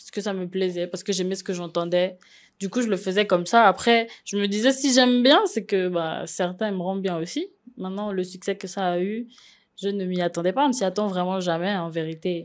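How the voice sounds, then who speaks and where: This woman's voice sits at a medium pitch, with ordinary pitch variation and a fairly quick pace. The recording is very clean, with a silent background. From Gabon. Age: 20s. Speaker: singer. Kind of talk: interview. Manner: casual, hesitant.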